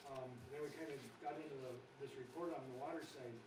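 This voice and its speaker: A man with an American accent, medium pitch and monotone, flat intonation at a fairly quick pace, with audible room echo and noticeable background noise. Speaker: water operations contractor. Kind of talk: meeting report. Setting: council meeting room. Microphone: microphone far away or not turned on.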